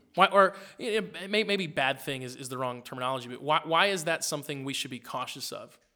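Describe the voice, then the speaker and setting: Speaking at a very fast pace, a man uses a fairly high pitch, a bright, sharp tone, lively intonation and big swings in loudness. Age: 30s. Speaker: pastor. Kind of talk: casual chat. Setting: studio. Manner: animated.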